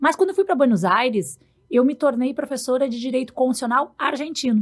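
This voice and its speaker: This woman speaks fairly quickly in a high voice with a southern Brazilian accent. Her intonation is lively. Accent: gaúcho. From Rio Grande do Sul, Brazil. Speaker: law professor. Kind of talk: podcast interview.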